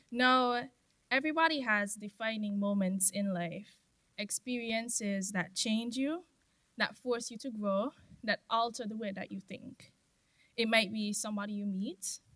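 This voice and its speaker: A soft-spoken woman talks at a fairly slow pace with a bright, sharp tone. Her pitch is fairly high, with ordinary pitch variation. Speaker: former scholarship recipient giving a speech. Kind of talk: ceremony speech. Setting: stage with audience.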